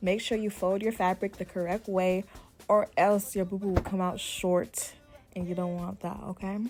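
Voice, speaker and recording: Music plays in the background as a woman speaks at a medium pitch with monotone, flat intonation. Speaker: dressmaker. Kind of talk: tutorial. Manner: fast; casual.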